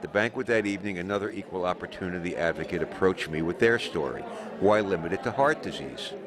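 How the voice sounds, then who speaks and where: Over noticeable background noise, a man with a fairly low voice speaks very fast with ordinary pitch variation. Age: 80s+. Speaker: ski journalist and video maker. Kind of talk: scripted narration.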